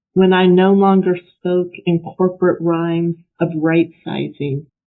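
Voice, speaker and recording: A woman speaks at a fairly slow pace with a fairly low pitch. Her loudness stays very even, and her intonation is monotone and flat. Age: 60s. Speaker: poet. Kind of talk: casual explanation; poetry reading. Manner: hesitant, with fillers.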